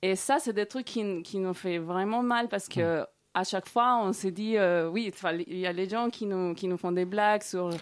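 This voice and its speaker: Speaking at a fairly slow pace, a woman has an unremarkable speaking voice at medium pitch with ordinary pitch variation. The recording is very clean, with a silent background. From Colombia. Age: 30s. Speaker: guest. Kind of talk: casual interview chat. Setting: studio.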